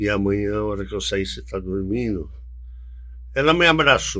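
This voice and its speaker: A bright, sharp tone at a fairly slow pace, with audible room echo. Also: man. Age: 70s. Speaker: events business executive. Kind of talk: podcast interview. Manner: halting.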